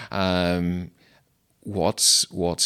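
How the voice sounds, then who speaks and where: Recorded very cleanly with a silent background and a dry, close sound with no echo, a man with a Mid Ulster accent speaks in a very deep, low pitch with a bright, sharp tone. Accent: Northern Irish (mid-Ulster). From Northern Ireland, County Tyrone. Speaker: Methodist minister. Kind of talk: interview. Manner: halting, many fillers.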